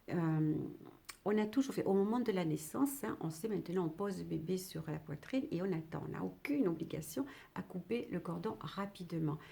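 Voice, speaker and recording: Lively intonation rides over a dark, mellow tone with vocal fry, delivered at a moderate pace. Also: woman, fairly low pitch for a woman. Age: 60s. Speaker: retired midwife. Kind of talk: educational talk to camera. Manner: halting, with many fillers.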